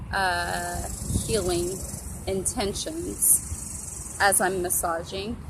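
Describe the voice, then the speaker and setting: Audible room echo surrounds the speaker. She is a woman talking at a very slow pace. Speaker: tarot reader and astrologer. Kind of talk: tarot reading / casual talk to camera. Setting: outdoors. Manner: soft-spoken.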